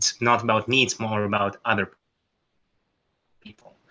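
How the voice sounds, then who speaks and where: A man with a non-native accent and a bright, sharp tone talks at a fairly quick pace in a flat monotone. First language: not English. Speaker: workshop participant. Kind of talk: group discussion. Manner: halting.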